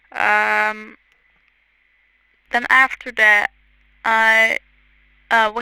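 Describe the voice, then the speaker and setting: A woman's fairly high, bright, sharp voice with a non-native accent and a dry, close sound with no echo. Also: very clean recording, silent background. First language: not English. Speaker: content creator. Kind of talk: tutorial voiceover. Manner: hesitant, many fillers.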